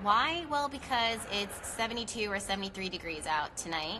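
A woman speaks at a very slow pace, with noticeable background noise behind her. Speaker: astrology live host. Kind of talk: casual live-stream chat. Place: garden. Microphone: phone near.

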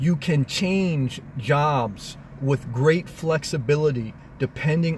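A man speaks over light background noise in a dry sound with no echo. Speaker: vlogger living in his car. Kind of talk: casual vlog chat. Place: car. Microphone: phone near.

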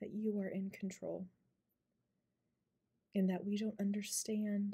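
The voice is soft-spoken and somewhat breathy, with a dark, mellow tone and a monotone, flat intonation. It moves at a fairly slow pace against a quiet background. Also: woman, medium pitch for a woman. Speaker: ASMR creator. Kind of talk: spoken prayer. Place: home room. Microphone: phone near.

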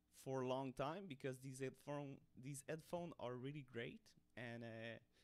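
A man speaks with a non-native accent. His pace is fairly slow and his intonation fairly even. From Montreal, Canada. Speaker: hobbyist 3D designer. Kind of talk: casual tutorial talk to camera. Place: home room. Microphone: studio mic.

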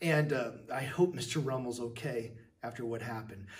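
A man talks at a moderate pace with lively intonation. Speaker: teacher hosting a school show. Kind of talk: upbeat show hosting to students. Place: classroom. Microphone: phone near.

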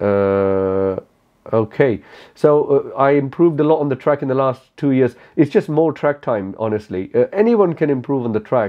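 A man talks with a non-native accent. His fairly high voice has lively intonation. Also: moderate pace, quiet background. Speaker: motorcycle track day rider and YouTuber. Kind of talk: casual Q&A talk to camera. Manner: relaxed, laid back. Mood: relaxed, candid, light humor. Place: home room.

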